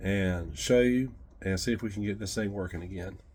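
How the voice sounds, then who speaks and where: A man at a moderate pace with fairly even intonation and audible room echo. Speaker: tool restoration youtuber. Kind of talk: casual workshop tutorial.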